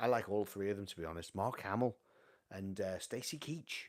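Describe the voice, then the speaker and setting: Here a man talks with a North Welsh accent and ordinary pitch variation. The recording is very clean, with a silent background. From North Wales, Llandudno. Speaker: vinyl collector livestream host. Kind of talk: casual live stream chat reading viewer comments. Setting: home live stream on camera. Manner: animated.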